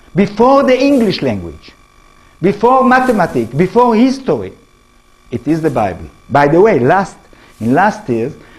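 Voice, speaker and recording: A man with an Israeli accent at a moderate pace, his pitch swinging very widely. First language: not English. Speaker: professor and author. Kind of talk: public lecture. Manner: halting.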